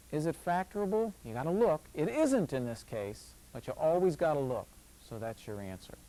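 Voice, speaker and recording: A man with a dark, mellow tone and fairly high pitch speaks with very wide pitch swings and big swings in loudness. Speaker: math instructor. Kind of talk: lecture. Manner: fast; casual, chatty.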